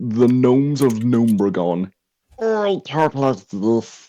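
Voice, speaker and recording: A man puts on a guttural character voice at medium pitch. He speaks at a fairly slow pace. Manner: silly.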